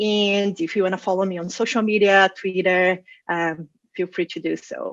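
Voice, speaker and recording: The speaker has a Brazilian Portuguese accent. The pace is moderate and the intonation fairly even. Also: woman, medium pitch for a woman. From Brazil, Rio de Janeiro. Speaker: data science manager and conference speaker. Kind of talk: conference talk. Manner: hesitant with fillers and repetitions.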